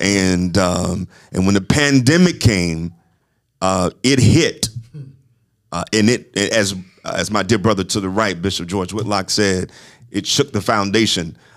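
In an Alabama accent, a man speaks fairly slowly with long, frequent pauses. His voice is fairly low, with ordinary pitch variation. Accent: Southern US, Alabama. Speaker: podcast host and apostle. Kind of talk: casual chat. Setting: studio.

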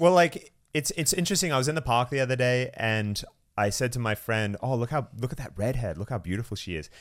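Speaking very fast with lively intonation, a man with a medium pitch talks in an Australian accent. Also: very clean recording, silent background. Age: 30s. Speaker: content creator. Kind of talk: casual chat. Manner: sarcastic, joking.

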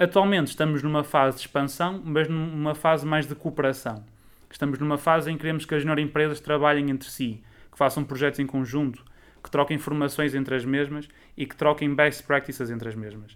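A man speaks at a fairly quick clip, his pitch fairly high and his intonation fairly even. Loudness swings widely through an unremarkable speaking voice. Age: 20s. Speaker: student association president. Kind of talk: interview. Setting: online audio interview.

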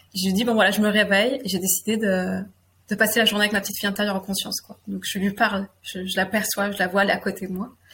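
Very fast talk from a woman of medium pitch, monotone and flat in intonation, with big swings in loudness. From France, Limousin (near Limoges). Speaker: guest sharing personal story, women's circle facilitator. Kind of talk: personal testimony interview. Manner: halting, hesitant with repetitions.

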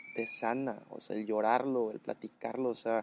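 A man talks at a fairly slow pace in an unremarkable speaking voice at a medium pitch, with fairly even intonation and a dry, close sound with no echo. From Mexico, Sinaloa (Los Mochis). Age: 20s. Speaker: content creator. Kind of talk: casual chat. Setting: café in Mérida.

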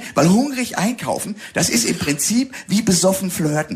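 Over noticeable background noise, a man with a high pitch talks in very wide pitch swings. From Rhine-Hesse, Germany (Bingen am Rhein). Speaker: comedian. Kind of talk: casual chat. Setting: studio.

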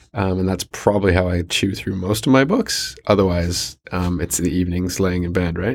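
This man speaks in a Canadian accent with a very deep, low pitch. His pace is moderate, with hardly any pauses. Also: fairly even intonation. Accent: Canadian-sounding English. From New Zealand. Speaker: sustainability business expert. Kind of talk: interview. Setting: studio.

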